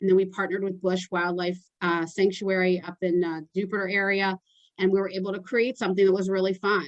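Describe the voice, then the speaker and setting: A woman talks at a fairly quick pace and a medium pitch. Her intonation is monotone and flat. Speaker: public relations consultant. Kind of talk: workshop presentation. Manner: fast.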